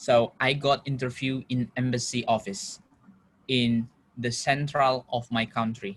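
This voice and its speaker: Somewhat breathy and monotone, a man with an Indonesian accent speaks at a fairly slow pace with flat intonation. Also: medium pitch for a man. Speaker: international student. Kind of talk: interview. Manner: halting, with filler words.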